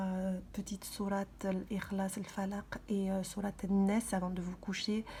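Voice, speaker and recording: A soft-spoken woman talks very slowly in a dark, mellow tone, somewhat breathy, with monotone, flat intonation. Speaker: vlogger. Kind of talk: casual vlog talk. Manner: halting, many hesitations.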